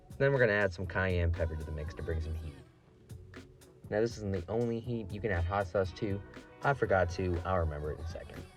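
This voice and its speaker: Over music in the background, a man with a very deep, low voice talks at a very fast pace with ordinary pitch variation. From Ohio. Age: young. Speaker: line cook. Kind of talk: casual cooking tutorial.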